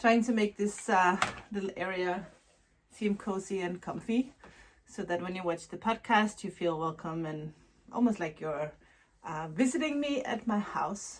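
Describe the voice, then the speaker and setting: Speaking with a non-native accent at a moderate pace, a woman uses a medium pitch and lively intonation over noticeable background noise. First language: not English. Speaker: knitwear designer and yarn dyer vlogger. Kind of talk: casual vlog. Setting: at home. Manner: halting.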